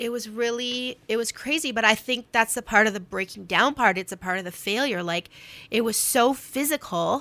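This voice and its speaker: Against a silent background in a very clean recording, a woman with a Canadian accent speaks fairly quickly in a bright, sharp tone, her fairly high pitch showing ordinary variation. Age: 40s. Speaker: writer and storyteller. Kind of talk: casual chat.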